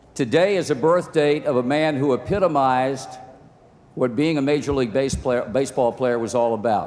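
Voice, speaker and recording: Talking at a fairly quick clip, a man with an American accent holds a very even loudness at a medium pitch over noticeable background noise. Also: ordinary pitch variation. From Virginia, US. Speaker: sportscaster. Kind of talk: award acceptance speech. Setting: outdoor ceremony PA system.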